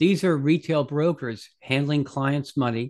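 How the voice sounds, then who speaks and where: A man with an American accent has an ordinary speaking voice, fairly high in pitch with fairly even intonation. He talks at a fairly slow pace against a quiet background. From New York area. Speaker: head of research at crypto investment firm. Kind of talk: interview.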